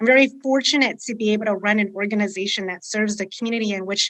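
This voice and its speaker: A woman speaks in a Californian accent. The background is quiet. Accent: General American (Californian). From US West, Sacramento, California. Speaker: nonprofit director and city council member. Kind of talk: podcast panel discussion.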